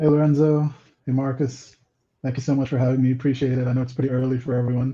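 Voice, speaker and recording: A man's medium-pitched, somewhat breathy voice with a dark, mellow tone, at a very fast pace in monotone, flat intonation. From Nigeria (Lagos). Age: 40s. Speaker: comic book writer. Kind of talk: interview.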